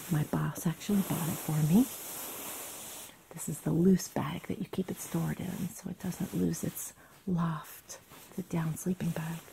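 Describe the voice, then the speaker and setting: Soft-spoken and whispering, the speaker moves at a fairly slow pace with long, frequent pauses over light background noise. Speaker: gear reviewer. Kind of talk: casual show-and-tell. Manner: soft ASMR near-whisper. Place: home room. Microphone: phone near.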